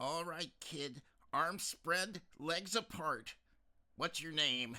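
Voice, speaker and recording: A man puts on a character voice, raised and projected at a high pitch. He speaks at a very slow pace. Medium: read story. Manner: interrogating, officious.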